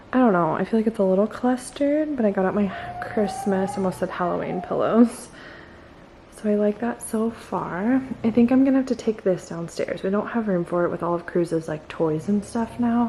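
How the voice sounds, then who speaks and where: A woman at medium pitch with ordinary pitch variation and a moderate pace, amid noticeable background noise. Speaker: vlogger, mom. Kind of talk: casual vlog narration. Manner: soft-spoken, quiet.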